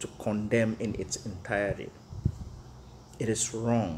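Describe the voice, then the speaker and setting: A man with a non-native accent, fairly low in pitch, at a fairly slow pace. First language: not English. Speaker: teacher. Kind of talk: rant to camera. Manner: animated.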